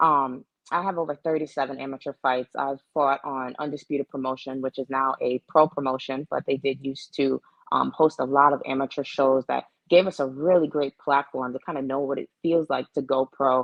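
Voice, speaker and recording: A woman's very deep, low pitch at a fairly quick pace, in a monotone, flat intonation. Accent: American. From US, Florida (Orlando). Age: 20s. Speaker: professional boxer. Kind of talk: interview.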